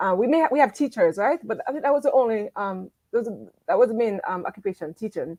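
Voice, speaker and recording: Delivered at a very fast pace with lively intonation, the voice has a dark, mellow tone in a dry, close sound with no echo. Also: woman, fairly high pitch for a woman. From Jamaica, moved to US in eighth grade. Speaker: academic with a doctorate, interview guest. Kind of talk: interview on life story. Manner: hesitant, many fillers.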